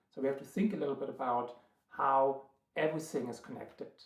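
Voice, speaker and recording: The speaker talks at a fairly quick pace with ordinary pitch variation and a strong German accent. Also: man. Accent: thick German. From Germany, Berlin. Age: 30s. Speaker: triathlon coach and vlogger. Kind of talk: vlog monologue. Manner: hesitant, many filler words.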